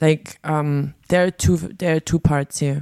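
In a German accent, a woman speaks at a moderate pace with a very deep, low pitch, a dark, mellow tone and ordinary pitch variation. The recording is very clean and dry, with a close sound, no echo and a silent background. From East Germany. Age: 40s. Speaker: DJ. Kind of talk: interview.

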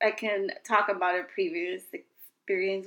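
With an American accent and an unremarkable speaking voice, the speaker goes at a fairly slow pace with ordinary pitch variation. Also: woman. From Queens, New York. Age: 30s. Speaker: podcast host, mother. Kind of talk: casual chat.

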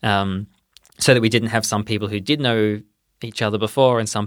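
With an Australian accent, a man talks at a fairly quick pace in a fairly low pitch, his intonation monotone and flat. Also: very clean recording, silent background. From Perth, Western Australia. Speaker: doctoral researcher in anthropology. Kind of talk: interview.

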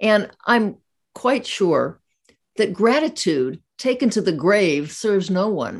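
Vocal fry marks this woman's voice. She speaks at a very slow pace with very wide pitch swings. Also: medium pitch for a woman. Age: 80s. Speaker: podcast host. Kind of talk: casual interview chat. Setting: video call.

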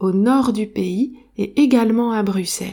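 At a very slow pace, a woman speaks with a fairly high pitch, ordinary pitch variation and a dark, mellow tone in a very clean recording with a silent background. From Belgium. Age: 30s. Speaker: French teacher and podcast host. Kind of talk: language-learning podcast monologue. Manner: clear.

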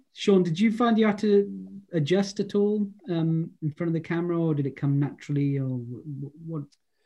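In a Welsh accent, a man with a high pitch and a dark, mellow tone talks at a moderate pace with lively intonation. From Wales. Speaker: actor and event host. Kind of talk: interview panel. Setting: video call.

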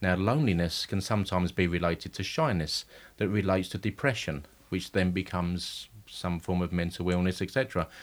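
On a very clean recording with a silent background, a man talks fairly quickly in a very deep, low voice with ordinary pitch variation. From Essex, England (Romford). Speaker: ballroom dancer and judge. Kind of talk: interview.

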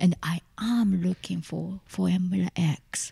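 A woman's somewhat breathy, dark, mellow voice with a Japanese accent, in a dry, close sound with no echo. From Tokyo, Japan. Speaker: musician and performance artist. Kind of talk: casual interview chat.

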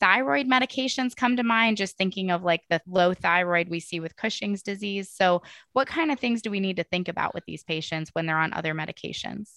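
A woman's medium-pitched voice sounds bright and sharp at a fairly quick pace. The sound is dry and close with no echo, over a quiet background. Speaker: podcast host and veterinarian. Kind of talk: interview conversation, professional discussion.

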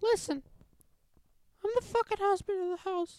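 A put-on character voice from a woman, squeaky and extremely high-pitched, with ordinary pitch variation. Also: moderate pace, dry, close sound with no echo. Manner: indignant, comedic.

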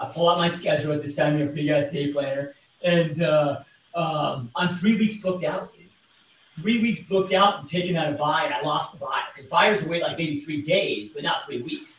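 A man speaks at a moderate pace with a high pitch and ordinary pitch variation. His loudness swings a lot, and there is noticeable background noise. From Michigan. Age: 30s. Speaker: real estate team leader. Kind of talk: interview. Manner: casual and animated.

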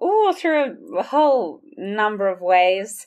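On a very clean recording with a silent background, a woman speaks with a slight Australian accent. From Sydney, Australia. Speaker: music minister and ministry worker. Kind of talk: casual interview chat.

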